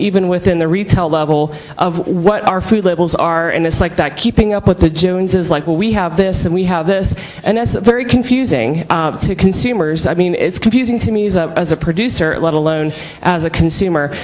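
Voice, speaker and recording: A woman's medium-pitched voice with lively intonation at a fairly quick pace over noticeable background noise. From Pittsburgh, Pennsylvania. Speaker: beef producer. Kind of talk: panel discussion. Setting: conference stage with audience.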